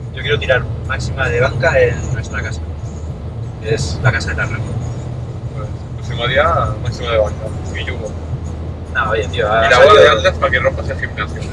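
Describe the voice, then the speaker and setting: Noticeable background noise sits behind a man who speaks fairly quickly. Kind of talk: casual vlog chat. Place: car. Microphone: camera far.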